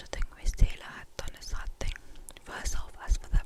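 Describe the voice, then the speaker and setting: Someone whispers at a moderate pace in a gentle tone. Background noise is noticeable. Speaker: ASMR creator. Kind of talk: narration of a classic novel read aloud. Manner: soft, whispered, gentle.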